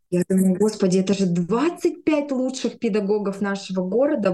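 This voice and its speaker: Medium-pitched woman's voice, an ordinary speaking voice at moderate speed with ordinary pitch variation. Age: 30s. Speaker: speech therapist. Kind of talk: interview storytelling.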